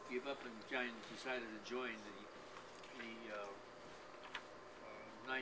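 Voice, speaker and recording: Loud background noise sits behind a man speaking with ordinary pitch variation. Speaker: interviewee. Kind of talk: interview answer. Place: home room. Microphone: camera far.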